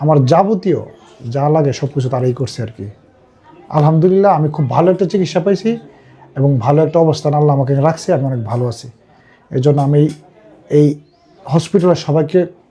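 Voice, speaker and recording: A man's fairly high voice carries ordinary pitch variation in an ordinary speaking voice. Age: 30s. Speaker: patient. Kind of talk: testimony.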